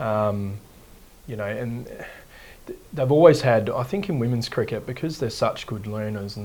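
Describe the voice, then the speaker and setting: The speaker has an Australian accent and talks at a moderate pace. Room echo is audible. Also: man. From Western Australia, Perth hills. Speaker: cricket coach. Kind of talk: interview. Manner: hesitant, many fillers.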